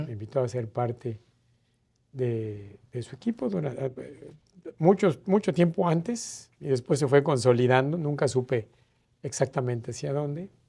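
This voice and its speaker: Using lively intonation, a man speaks fairly slowly in a dark, mellow tone that is somewhat breathy, his pitch medium. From Mérida, Yucatán, Mexico. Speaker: ambassador, diplomat. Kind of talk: interview answer. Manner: hesitant, reflective.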